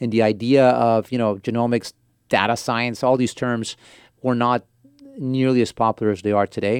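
A man with an American accent speaks at a moderate pace in a medium pitch. His intonation is flat and monotone, and the sound is dry and close, with no echo. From Portland, Oregon, US. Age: 40s. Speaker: venture capitalist. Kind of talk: interview. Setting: studio.

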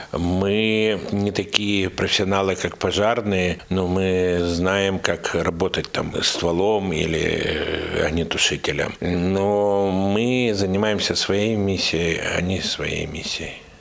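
A man's fairly low voice at a very slow pace, with hardly any pauses, fairly even intonation, and noticeable background noise. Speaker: Red Cross rescue team commander. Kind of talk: monologue interview.

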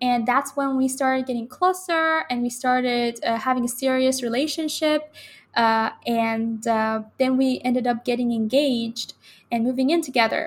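A high-pitched woman with a Persian accent, moderate pace and fairly even intonation. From Iran, Tehran. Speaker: university student. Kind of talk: interview conversation. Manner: halting.

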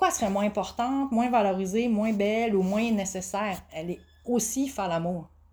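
At a moderate pace, a woman talks in an ordinary speaking voice with a medium pitch and ordinary pitch variation. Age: 40s. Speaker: sex education coach and massage therapist. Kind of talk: casual interview.

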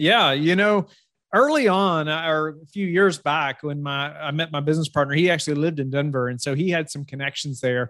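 The speaker talks fairly quickly with a Southern US accent. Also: man, fairly high pitch for a man, ordinary pitch variation. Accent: warm Southern US. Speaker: real estate fund manager. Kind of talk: interview. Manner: halting, many fillers and repeats.

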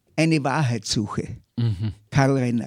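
A man at a very slow pace, in a dry, close sound with no echo. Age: old. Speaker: historian. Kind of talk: interview.

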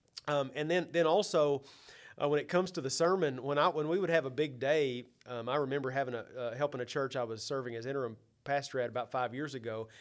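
Speaking very fast with an Arkansas accent, a man has a fairly high pitch on a very clean recording with a silent background. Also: ordinary pitch variation. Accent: US Southern (Arkansas). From Arkansas, Mansfield area near Fort Smith. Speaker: church ministry consultant, former pastor. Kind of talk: interview conversation.

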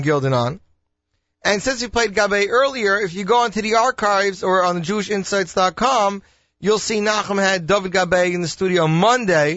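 Here a man talks in a high voice at a moderate pace. His pitch variation is ordinary. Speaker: radio host. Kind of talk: upbeat radio DJ patter, chatty station promos and song intros. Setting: studio. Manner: casual, rambling, self-interrupting.

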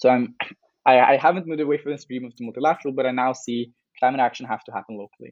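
Speaking very fast with a Norwegian accent, this man keeps a medium pitch and fairly even intonation. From Norway. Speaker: climate activist. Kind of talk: interview.

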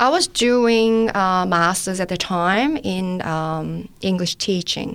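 Very slow in pace, the speaker has a Korean accent and ordinary pitch variation. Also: woman, medium pitch for a woman. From South Korea. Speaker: testimony giver, medical student. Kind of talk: testimony. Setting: studio.

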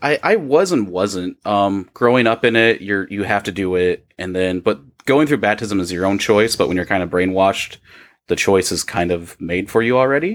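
In a very clean recording with a silent background, a man speaks in a plain, everyday voice at fairly low pitch, moderate pace and ordinary pitch variation. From Iowa. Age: 30s. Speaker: podcaster, former Jehovah's Witness. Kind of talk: casual chat.

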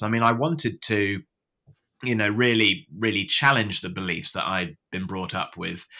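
Captured in a very clean recording with a silent background, a man with a British accent speaks at a moderate pace in a bright, sharp tone. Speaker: former atheist sharing story. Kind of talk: interview storytelling. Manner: clear, articulate, hesitant with fillers.

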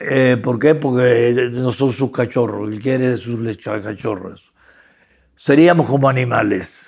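This man speaks at a very slow pace. His pitch sits in the medium range. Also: ordinary pitch variation. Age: 80s+. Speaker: academic thinker on ethics and philosophy. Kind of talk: interview conversation.

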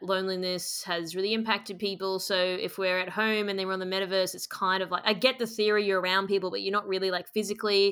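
With an Australian accent, a woman speaks fairly quickly at a medium pitch in a bright, sharp tone, on a very clean recording with a silent background. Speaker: podcast host. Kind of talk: interview.

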